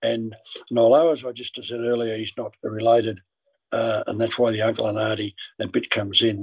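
A man with an Australian accent speaks at a fairly quick pace and a medium pitch. His delivery is monotone and flat, and his voice is somewhat breathy. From Australia, Ballarat. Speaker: former footballer and club marketing director. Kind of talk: interview storytelling. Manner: halting.

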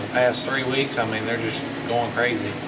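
A man's voice at a moderate pace over loud background noise. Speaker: storage unit reseller. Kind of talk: casual vlog chat.

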